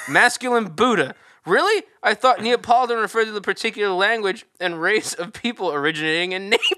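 Raised and projected, a man's high, bright, sharp voice races at a very fast pace with lively intonation on a very clean recording with a silent background. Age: 20s. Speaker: podcast co-host. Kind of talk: casual chat.

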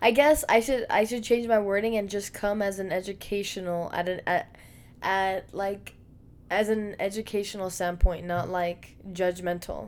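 A woman's unremarkable speaking voice, medium in pitch, fairly even in intonation, at a moderate pace. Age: 20s. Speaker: podcast co-host. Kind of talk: casual chat.

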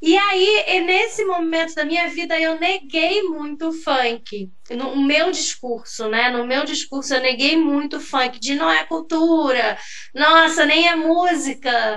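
Through noticeable background noise and audible room echo, a woman speaks very slowly at a high pitch with ordinary pitch variation. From São Gonçalo, Rio de Janeiro state, Brazil. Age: 30s. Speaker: history teacher and researcher. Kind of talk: casual interview chat. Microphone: unstable connection, switched to 3G.

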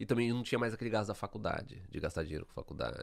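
Talking at a very fast pace, a man shows very wide pitch swings and vocal fry. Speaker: podcast host. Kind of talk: casual chat.

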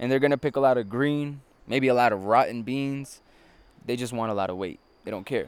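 In a very clean recording with a silent background, a man with a Spanish accent speaks at a fairly quick pace and medium pitch, with ordinary pitch variation and long, frequent pauses. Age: 20s. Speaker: coffee farm tour guide. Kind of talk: guided tour explanation. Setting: outdoors.

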